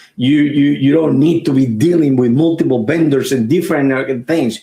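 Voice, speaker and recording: Music plays in the background behind a man with a Puerto Rican accent. His pitch is medium with ordinary variation. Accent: Puerto Rican accent, noticeable. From Puerto Rico. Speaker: IT company owner. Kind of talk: podcast interview. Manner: halting, many repetitions.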